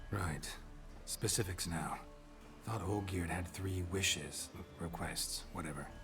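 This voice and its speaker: Over loud background noise, a man uses a put-on character voice with very deep, low pitch, moving at a fairly slow pace with long, frequent pauses. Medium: video game. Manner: terse, dry, deadpan.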